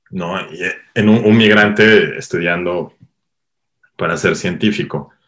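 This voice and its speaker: The speech moves at a very slow pace, broken by long, frequent pauses, with ordinary pitch variation. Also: man, fairly low pitch for a man. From Mexico, Cuernavaca, Morelos. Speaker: cinematographer. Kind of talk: interview. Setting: online call.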